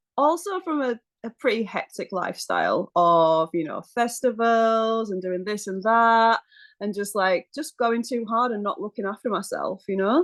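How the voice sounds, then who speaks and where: This woman's fairly high voice has lively intonation. The sound is dry and close with no echo, and the background is quiet. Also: moderate pace. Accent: British. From UK. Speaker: massage therapist and Pilates instructor. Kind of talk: podcast interview. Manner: casual, chatty with fillers.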